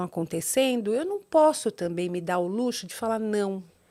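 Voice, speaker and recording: A woman at a moderate pace with lively intonation, on a very clean recording with a silent background. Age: 60s. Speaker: doctor and TV personality. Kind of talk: interview. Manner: halting, repetitive.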